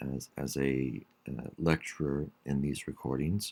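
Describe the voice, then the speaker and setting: At a very slow pace, a man speaks with a very deep, low pitch. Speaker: college English instructor. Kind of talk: online class announcement. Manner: hesitant, many fillers.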